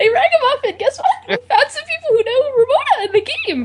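A woman puts on a whiny character voice at an extremely high pitch, talking at a fairly quick pace. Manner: annoying, excitable.

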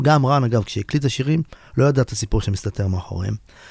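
The voice is a man's, somewhat breathy. Ordinary pitch variation runs through it. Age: 40s. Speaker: singer-songwriter and guitarist. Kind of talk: radio interview, casual chat.

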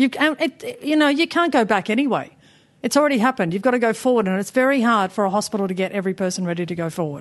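A woman talks at a very fast pace with an Australian accent. Her fairly high pitch rises and falls in very wide swings. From Papua New Guinea. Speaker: spinal cord injury patient. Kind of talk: interview. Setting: studio.

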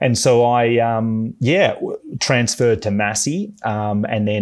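A man speaks in an Australian accent with ordinary pitch variation. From Melbourne, Australia. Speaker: veterinarian. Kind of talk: podcast interview.

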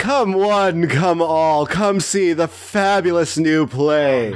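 Shouting in a put-on character voice, a man talks very slowly at a high pitch with very even loudness.

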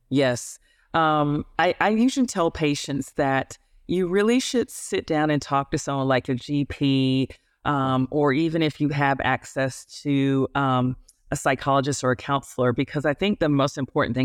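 A woman with an American accent, very deep and low-pitched, at a moderate pace with ordinary pitch variation and very even loudness, in a very clean recording with a silent background and a dry, close sound with no echo. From United States. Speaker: obstetrician and gynecologist. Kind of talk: interview, conversational. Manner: hesitant, filler words.

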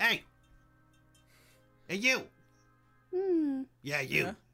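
The speaker uses a put-on character voice at a middle pitch. Faint music plays in the background. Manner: gruff goblin boss.

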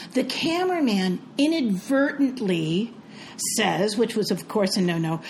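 Amid noticeable background noise, a woman with fairly high pitch makes very wide pitch swings. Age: 60s. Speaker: podcast co-host. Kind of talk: casual chat.

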